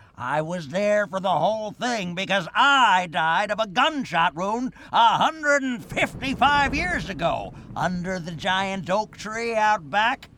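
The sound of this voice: A man uses a cartoonish character voice, high-pitched with a bright, sharp tone. He talks at a slow pace with lively intonation.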